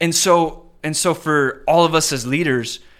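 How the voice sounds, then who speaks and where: A very clean recording with a silent background of a man at a fairly high pitch, an ordinary speaking voice with fairly even intonation. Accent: American. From Richmond, Virginia. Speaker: pastor. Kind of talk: casual interview chat.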